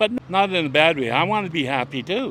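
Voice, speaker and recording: A man with a Canadian accent and very wide pitch swings. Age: 60s. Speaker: cancer patient. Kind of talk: street interview.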